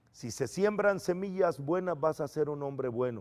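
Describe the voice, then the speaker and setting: Speaking fairly slowly in an unremarkable speaking voice, a man uses lively intonation at a fairly high pitch. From El Salvador. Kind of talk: testimony.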